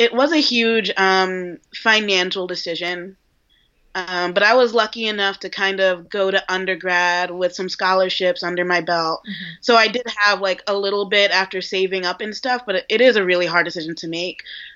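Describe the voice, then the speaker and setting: A woman with an American accent and an unremarkable speaking voice, medium in pitch, fairly even in intonation, at a moderate pace. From New York. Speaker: junior copywriter. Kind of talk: casual interview. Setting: video call.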